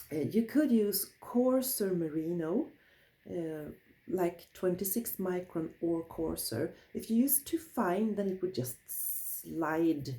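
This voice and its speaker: A woman with a Swedish accent talks at a very slow pace in a dark, mellow tone, her medium pitch making very wide swings. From Sweden. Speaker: wool crafter, craft teacher. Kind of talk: tutorial. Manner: halting.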